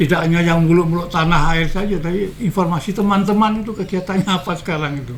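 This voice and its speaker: Audible room echo and noticeable background noise surround speech delivered at a fairly quick pace. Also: man. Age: 70s. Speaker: retired journalist and former activist. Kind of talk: interview. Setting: at his home.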